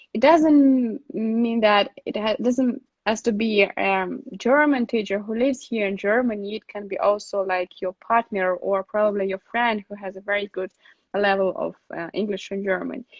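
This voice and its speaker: A woman at a medium pitch with a Russian accent, ordinary pitch variation and a moderate pace. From Russia, Saint Petersburg. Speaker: relocation consultant. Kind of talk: live stream Q&A. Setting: live online stream. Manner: halting, many fillers.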